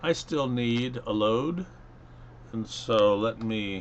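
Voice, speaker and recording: A man's voice at a fairly low pitch. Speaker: engineering instructor. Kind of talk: software tutorial. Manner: casual, with fillers.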